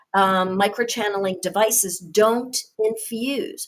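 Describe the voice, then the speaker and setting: At a very slow pace, a woman speaks with ordinary pitch variation. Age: 60s. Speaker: nurse and skincare trainer. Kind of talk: training webinar. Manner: casual, with frequent fillers.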